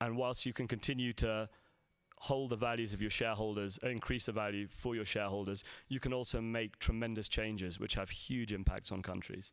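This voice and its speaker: This man speaks in a London accent at a fairly low pitch and a fairly quick pace. His intonation stays fairly even on a very clean recording with a silent background. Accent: London accent, remarked by himself. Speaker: salt industry executive. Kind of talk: conference presentation. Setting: stage with audience at a conference. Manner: hesitant, many fillers.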